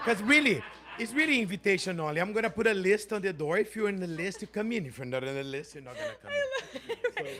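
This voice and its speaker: A man with a Portuguese accent and a high pitch talks in an animated tone at a very fast pace, his raised, projected voice making very wide pitch swings and big swings in loudness over noticeable background noise. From Brazil. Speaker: performer. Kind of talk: audience question at town hall.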